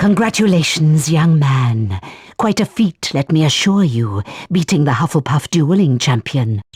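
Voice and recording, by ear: In a put-on character voice with a slightly husky edge, the speaker moves at a fairly slow pace with big pitch swings, recorded with a dry, close sound and no echo. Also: man, fairly high pitch for a man.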